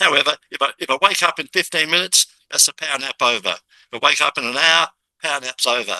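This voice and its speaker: A man speaks very fast in an animated, bright, sharp tone with vocal fry. The sound is dry and close, with no echo. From Australia. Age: 70s. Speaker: business podcast host. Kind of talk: interview introduction.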